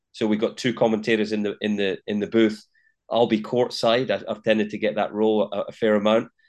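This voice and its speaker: Against a quiet background, a man with a Scottish accent speaks fairly quickly at a fairly low pitch in a flat monotone. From Scotland, Linlithgow. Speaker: tennis commentator and former player. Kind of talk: interview. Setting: in Melbourne, Australia.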